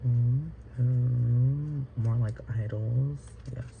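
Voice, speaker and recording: This man's medium-pitched voice is dark, mellow and somewhat breathy, delivered in a monotone, flat intonation. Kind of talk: casual vlog talk to camera. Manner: rambling, hesitant.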